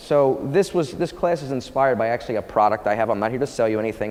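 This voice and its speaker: A man's energetic, very fast delivery with ordinary pitch variation, amid noticeable background noise. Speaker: fitness educator / personal trainer presenter. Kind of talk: conference lecture / workshop. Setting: conference room with live audience. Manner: casual, energetic.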